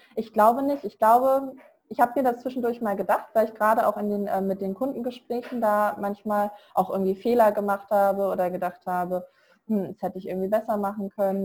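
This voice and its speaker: Medium female pitch, fairly quick delivery and fairly even intonation from a woman. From Germany. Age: 20s. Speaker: virtual assistant, self-employed. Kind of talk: interview. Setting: online call from India.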